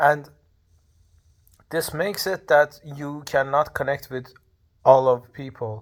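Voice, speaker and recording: A man speaks at a very slow pace with a fairly high pitch and a non-native accent. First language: not English (speaking third language). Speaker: vlogger. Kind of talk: casual monologue. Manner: halting, many fillers.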